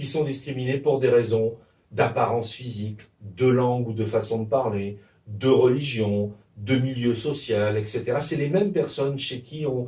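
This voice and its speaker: Somewhat breathy and dark, mellow in tone, the voice moves at a fairly slow pace with ordinary pitch variation. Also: man, medium pitch for a man. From Provence, France. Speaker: sociolinguistics professor. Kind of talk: interview answer.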